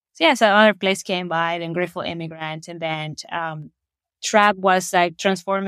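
At a moderate pace, a woman speaks in a medium pitch with fairly even intonation. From Ecuador, coastal Guayaquil. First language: Spanish. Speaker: actor and theatre creator. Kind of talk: interview conversation. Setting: remote call from Ecuador.

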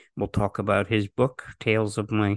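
A man's fairly slow, vocal-fry delivery, dry and close with no echo, over a quiet background. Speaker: podcast host. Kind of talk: interview.

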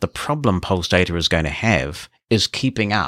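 A man with a New Zealand accent, fairly low-pitched, with a bright, sharp tone and a fairly slow pace, in a very clean recording against a silent background. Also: dry, close sound with no echo. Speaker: assistive technology expert. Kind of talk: interview.

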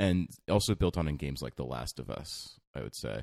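A man speaks at a fairly quick pace with lively intonation and some vocal fry. The sound is dry and close, with no echo. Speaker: podcast host. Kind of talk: casual banter.

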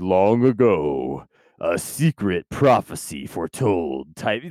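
A man speaks in a put-on character voice at a fairly slow pace. His pitch is very deep and low. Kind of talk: dramatic, Disney-style narration.

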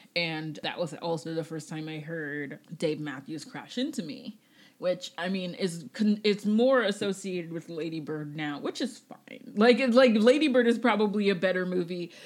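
Speaking in an ordinary speaking voice at a moderate pace, a woman of medium pitch uses lively intonation and big swings in loudness with hardly any pauses. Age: 30s. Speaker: podcast co-host. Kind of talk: casual chat.

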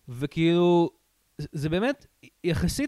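A man speaks at a very slow pace in a high pitch. The sound is dry and close, with no echo. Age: 20s. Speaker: podcast host, film student. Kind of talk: casual chat. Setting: studio.

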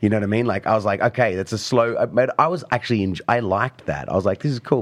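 Talking very fast with hardly any pauses, a man with an Australian accent keeps a medium pitch and ordinary pitch variation. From Australia and Italy. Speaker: beatboxer and street performer. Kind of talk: casual chat. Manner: animated.

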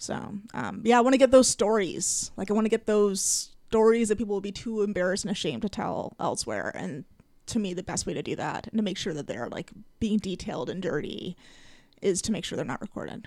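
Intonation is lively and the pace fairly quick, with vocal fry, on a very clean recording against a silent background. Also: woman, medium pitch for a woman. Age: 40s. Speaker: comedian and storytelling show host. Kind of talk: casual interview.

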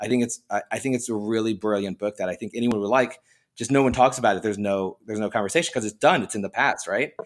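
Very fast speech with ordinary pitch variation, in a very clean recording with a silent background. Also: man, medium pitch for a man. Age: 40s. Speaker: comic book writer and artist. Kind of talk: casual chat.

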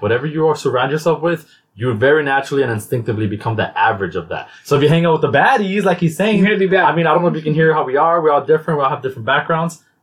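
The speech is very fast, with hardly any pauses and lively intonation. The voice is somewhat breathy. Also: man. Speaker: podcast host. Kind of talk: casual chat. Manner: fast talker.

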